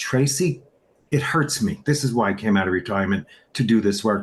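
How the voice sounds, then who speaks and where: A man speaks with lively intonation at a moderate tempo, his voice somewhat breathy. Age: 60s. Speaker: supplement distributor. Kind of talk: interview. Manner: animated.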